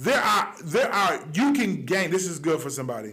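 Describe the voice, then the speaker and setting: An animated, loud voice with very wide pitch swings rings out against audible room echo. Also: man. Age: young. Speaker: online talk show host. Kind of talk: motivational monologue. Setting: studio.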